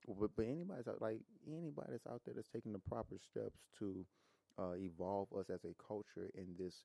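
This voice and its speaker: An American man speaks at a fairly quick pace with lively intonation and a fairly low pitch. His dark, mellow tone comes through a dry, close sound with no echo. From Louisiana. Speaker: rapper. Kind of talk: podcast interview answer. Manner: casual, conversational.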